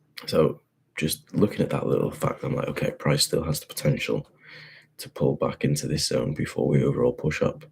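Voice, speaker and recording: A man's animated voice with a British accent at a fairly quick pace. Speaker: forex trader. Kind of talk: market analysis tutorial. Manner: casual, animated; quiet, keeping voice down.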